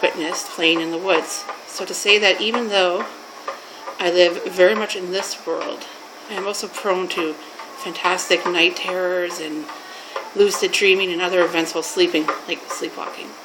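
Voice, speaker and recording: A woman with a Canadian accent at a medium pitch, moderate pace and fairly even intonation, amid noticeable background noise and audible room echo. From Canada. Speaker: mental health worker. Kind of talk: personal story telling. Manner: informal, halting.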